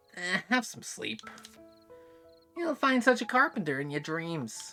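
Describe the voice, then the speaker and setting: Putting on a raspy character voice, a man speaks at a fairly slow pace with a high pitch and very wide pitch swings while faint music plays in the background. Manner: sarcastic, dry.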